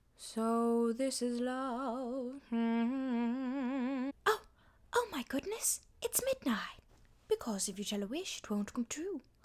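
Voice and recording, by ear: A woman puts on a character voice in a transatlantic accent, pitched high. She delivers it at a fairly slow pace.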